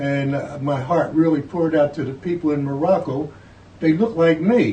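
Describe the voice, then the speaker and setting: A man with an American accent speaks at a moderate pace and a fairly high pitch, with ordinary pitch variation. His tone is dark and mellow, and somewhat breathy. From northern US, Philadelphia and New York. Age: 80s+. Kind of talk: oral history interview.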